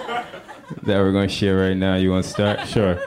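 There is noticeable background noise. Through it comes a man's voice. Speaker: stand-up comedian. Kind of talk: stand-up. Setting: stage with audience.

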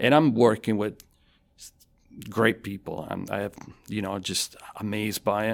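Speaking with an Italian accent, a man uses a fairly low pitch, a fairly slow pace, fairly even intonation and long, frequent pauses. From southern Italy (Avellino). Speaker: university professor and design school director. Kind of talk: casual interview. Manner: conversational, hesitant with fillers.

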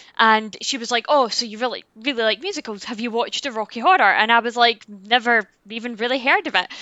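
A woman with a Scottish accent talks very fast at a fairly high pitch, with hardly any pauses. Her pitch variation is ordinary, but her loudness swings widely. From Scotland. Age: 30s. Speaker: YouTuber. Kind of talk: casual chat.

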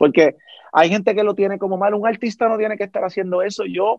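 Recorded dry and close with no echo, a man is speaking. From Puerto Rico. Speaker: podcast host. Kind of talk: interview.

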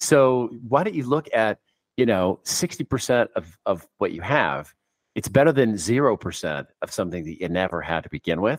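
A man with an American accent talks at a fairly quick pace, his pitch swinging very widely over vocal fry, in a dry, close recording with no echo. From San Francisco, US West Coast. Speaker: expat financial planner. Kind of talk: casual interview.

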